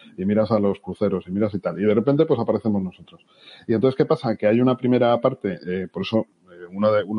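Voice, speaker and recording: A man with a fairly low pitch and ordinary pitch variation talks at a fairly quick speed. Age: 50s. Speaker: marketing executive. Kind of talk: podcast interview. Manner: halting, repeats words.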